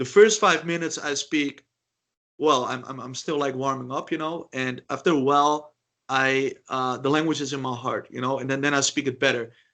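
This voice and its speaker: A man with a Dutch accent speaks at a moderate pace with fairly even intonation. His fairly high voice has a bright, sharp tone. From Netherlands. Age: 30s. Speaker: polyglot. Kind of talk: interview. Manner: halting.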